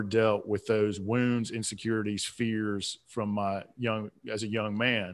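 Someone with a Southern US accent speaks at a moderate pace. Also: man. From South Atlanta, Georgia. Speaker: author and business coach. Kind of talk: interview, motivational talk. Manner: animated, motivational.

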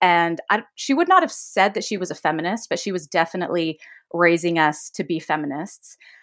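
A woman with an unremarkable speaking voice talks at a moderate pace, her pitch fairly low, on a very clean recording with a silent background. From Utah, Davis County. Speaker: podcast guest. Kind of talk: casual chat.

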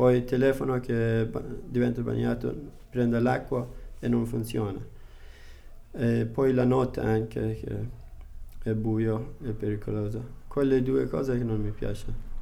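Speaking at a fairly slow pace with long, frequent pauses, a man is heard with audible room echo. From Afghanistan. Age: 20s. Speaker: food delivery rider and adult student. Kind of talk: interview. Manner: halting non-native Italian.

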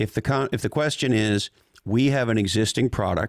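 A man with an ordinary speaking voice at a moderate pace, on a very clean recording with a silent background and a dry, close sound with no echo. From Montreal, Canada. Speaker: tech executive and business author. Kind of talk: interview conversation.

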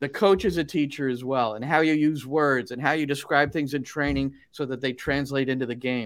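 A man with an American accent and a plain delivery described as an ordinary speaking voice talks at a fairly quick pace and fairly high pitch, with ordinary pitch variation and hardly any pauses, on a very clean recording with a silent background. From New Jersey. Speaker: soccer broadcaster and coach. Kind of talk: interview.

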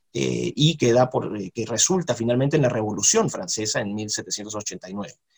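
Somewhat breathy, the man's voice swings very widely in pitch. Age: 40s. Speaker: university professor. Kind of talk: interview.

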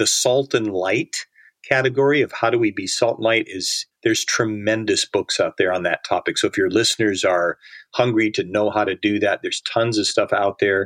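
A man at a moderate pace, dry and close with no echo. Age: 60s. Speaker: author and disciple-making ministry leader. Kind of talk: casual interview.

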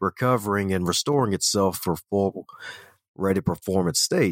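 With an American accent, a man speaks fairly quickly in a resonant, fairly low voice with ordinary pitch variation. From Baltimore, US. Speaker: author and speaker. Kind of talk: casual interview. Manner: energetic, animated.

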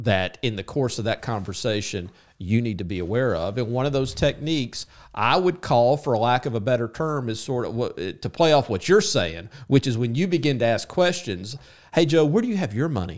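In a very clean recording with a silent background, a man with an unremarkable speaking voice talks at a moderate pace and medium pitch with lively intonation. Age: 50s. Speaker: podcast co-host, commission salesman. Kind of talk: casual chat.

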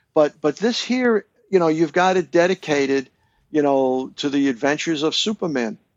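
A man with an American accent and a normal speaking voice, at a moderate pace and fairly high pitch. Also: lively intonation. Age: 60s. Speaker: author and longtime fan. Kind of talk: casual chat.

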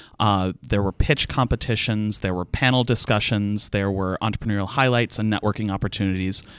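A man at a fairly quick pace with hardly any pauses and fairly even intonation, in a very clean recording with a silent background. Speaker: entrepreneurship advocate and theater performer. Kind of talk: interview podcast. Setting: studio.

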